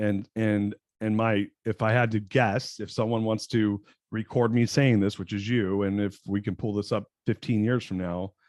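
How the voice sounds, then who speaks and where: A man talks at a moderate pace with a fairly low pitch and monotone, flat intonation. The sound is dry and close with no echo, against a quiet background. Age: 40s. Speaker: entrepreneur and business coach. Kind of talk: podcast interview. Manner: halting.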